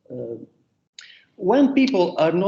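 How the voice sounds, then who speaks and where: This man has an Italian accent and a dark, mellow tone. He speaks at a fairly slow pace. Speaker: economics professor and book author. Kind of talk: academic roundtable talk. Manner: halting, many fillers.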